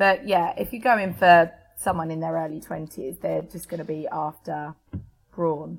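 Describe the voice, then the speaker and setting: Using a normal speaking voice, a woman with a fairly low pitch speaks at a moderate pace with lively intonation and big swings in loudness. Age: 30s. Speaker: guest. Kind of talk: casual chat.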